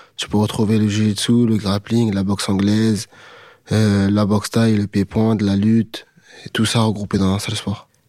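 A man's fairly low, dark, mellow voice in a monotone, flat intonation at a moderate pace. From France, Aubervilliers (Paris suburbs). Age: 20s. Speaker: MMA fighter. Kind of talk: interview.

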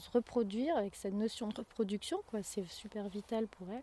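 A woman is speaking. Her tone is dark and mellow. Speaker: herbalist farmer. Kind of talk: casual interview.

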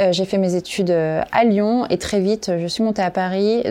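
The voice belongs to a woman at a medium pitch. Her intonation stays monotone and flat. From Corrèze, France. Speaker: entrepreneur. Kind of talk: interview.

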